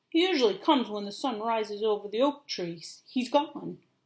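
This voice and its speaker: A woman puts on a character voice pitched fairly high. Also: moderate pace. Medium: read story. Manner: casual, offhand.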